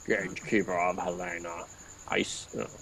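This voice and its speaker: A man puts on a character voice with a very deep, low pitch. His intonation is fairly even over clear background noise. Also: moderate pace. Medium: game stream. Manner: deferential, hesitant.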